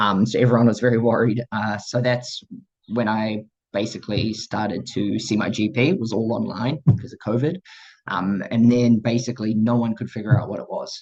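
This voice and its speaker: A man with a New Zealand accent speaks at a fairly quick pace. His pitch is medium and his intonation fairly even. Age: 20s. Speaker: person living with MS sharing their story. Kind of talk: personal testimony talk. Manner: hesitant, many fillers.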